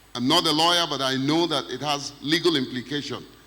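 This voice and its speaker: The intonation is fairly even. Noticeable background noise can be heard. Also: man. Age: 60s. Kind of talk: panel discussion.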